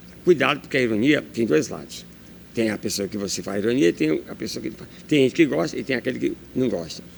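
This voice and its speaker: At a very fast pace, the voice shows vocal fry, very wide pitch swings and big swings in loudness. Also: man, medium pitch for a man. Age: 60s. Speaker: journalist. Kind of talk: interview. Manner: animated.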